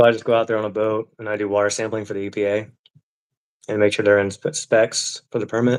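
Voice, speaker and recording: This man talks at a very fast pace. He has an American accent. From Florida (Orlando). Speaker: environmental water sampler, cancer survivor. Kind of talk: casual chat. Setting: live stream.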